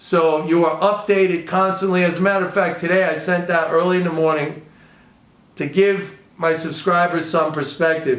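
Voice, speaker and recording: A man speaks with a New York accent at a high pitch. His moderate pace carries audible room echo. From New York City, the Bronx. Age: 60s. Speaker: economics and trading commentator. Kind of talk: casual video commentary. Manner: animated.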